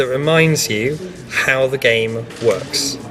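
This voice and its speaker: With music playing behind him, a man talks with ordinary rises and falls in pitch. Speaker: board game tutorial presenter. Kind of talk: board game rules explanation. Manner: casual, hesitant.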